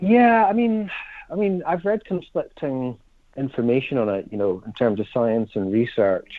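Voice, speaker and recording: Here a man talks with a plain, everyday voice. His pitch variation is ordinary. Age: 40s. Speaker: family relationships charity representative. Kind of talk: radio interview.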